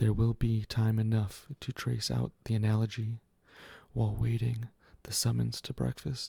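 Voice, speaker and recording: A soft-spoken man talks at a moderate pace and medium pitch in a monotone, flat way. His voice is somewhat breathy, with a dark, mellow tone. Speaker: ASMR reader. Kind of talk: ASMR reading of a literary story. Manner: soft, quiet.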